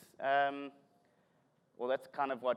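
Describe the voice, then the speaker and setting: A man with a South African accent speaks in an animated tone at a moderate pace. The recording is very clean, with a silent background. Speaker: tech conference speaker, developer relations. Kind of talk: conference talk.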